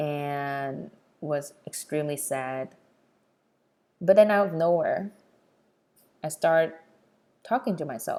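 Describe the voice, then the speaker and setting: A woman speaks very slowly in a Vietnamese accent. Her pitch is very deep and low, with ordinary variation. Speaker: podcast host. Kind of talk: personal storytelling podcast.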